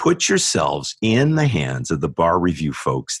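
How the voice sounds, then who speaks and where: A man's fairly low voice with vocal fry and very wide pitch swings, in a dry, close sound with no echo. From US West Coast, San Diego. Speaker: law professor. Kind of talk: interview.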